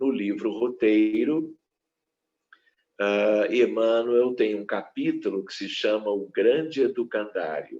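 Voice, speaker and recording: A man at a very slow pace, his loudness swinging widely. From southern Brazil, Porto Alegre. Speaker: physician and spiritist lecturer. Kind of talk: lecture. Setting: online live stream.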